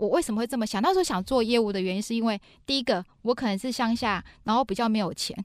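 The speech comes at a very fast pace. The tone is animated and energetic. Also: woman, fairly high pitch for a woman, ordinary pitch variation, very clean recording, silent background. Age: 40s. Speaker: business executive and author. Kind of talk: interview. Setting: studio. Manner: animated, energetic.

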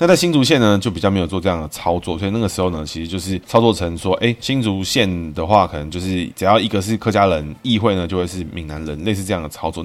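A man talks at a very fast pace in a Taiwanese accent. His pitch is very deep and low, with noticeable background noise behind him. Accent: Taiwanese Mandarin. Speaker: political commentary podcast host using name numerology. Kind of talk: solo monologue podcast. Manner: casual, many filler particles.

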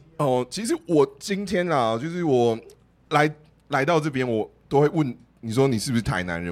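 This man's pitch swings very widely. His tone is animated. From Taiwan, Taoyuan. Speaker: live podcast panelist who sells plants online. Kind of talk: live podcast group chat. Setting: live event with audience.

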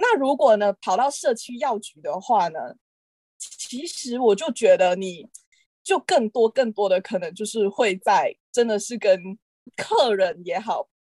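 A woman speaks in a normal speaking voice, fairly high-pitched, at a fairly slow pace with lively intonation and big swings in loudness. The sound is dry and close, with no echo. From Malaysia. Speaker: pharmacy graduate. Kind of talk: casual chat.

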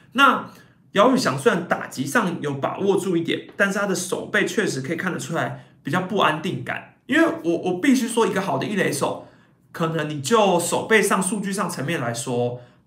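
With a bright, sharp tone and lively intonation, a man talks in a high voice at a moderate pace, with audible room echo. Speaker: baseball podcast host and YouTuber. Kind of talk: casual live-stream commentary.

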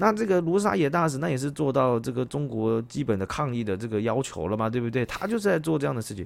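Talking very fast at a medium pitch, a man swings his pitch very widely. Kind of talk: casual chat.

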